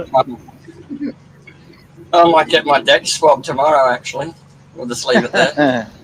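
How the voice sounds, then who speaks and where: In an Australian accent, the speaker talks at a moderate pace with ordinary pitch variation, big swings in loudness and long, frequent pauses. Noticeable background noise is present. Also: man, fairly high pitch for a man. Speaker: livestream commentator. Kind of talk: casual chat.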